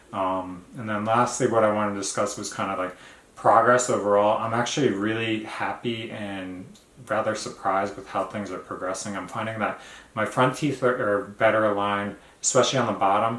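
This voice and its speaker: A fairly low-pitched man's voice with fairly even intonation and audible room echo. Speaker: vlogger. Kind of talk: casual video diary. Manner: halting, many fillers.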